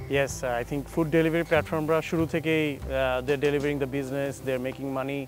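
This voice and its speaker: A man's voice with ordinary pitch variation, dry and echo-free, over clear background music. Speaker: guest. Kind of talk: interview answer. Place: garden. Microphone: lapel.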